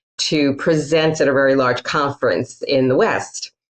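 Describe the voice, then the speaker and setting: At a moderate pace, a woman talks with a Queens accent. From Queens, New York City. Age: middle-aged. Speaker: author and humorist speaker. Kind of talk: interview.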